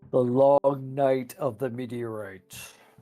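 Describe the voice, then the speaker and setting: A man's put-on character voice at medium pitch, fairly slow and with fairly even intonation. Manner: dramatic, grand, announcing.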